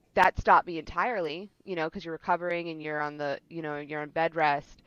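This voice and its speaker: In a dry, close recording with no echo and a quiet background, a woman speaks in a fairly low, monotone voice with flat intonation. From Rhode Island, New England. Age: 30s. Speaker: university administrator. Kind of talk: podcast interview. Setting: podcast recording.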